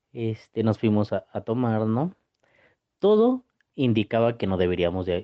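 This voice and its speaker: A man speaks in a normal speaking voice. His pitch is medium and his pace moderate. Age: young. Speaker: university student telling a personal story. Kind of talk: personal anecdote.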